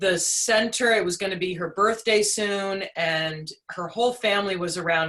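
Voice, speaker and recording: A woman talks at a moderate pace with medium pitch. Her intonation is fairly even, with hardly any pauses. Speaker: interview show host. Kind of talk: podcast interview host intro.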